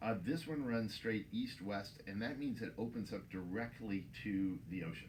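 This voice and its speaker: In an American accent, a man with a fairly low pitch speaks at a moderate pace amid audible room echo. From Texas. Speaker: winemaker. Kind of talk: interview. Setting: in a store.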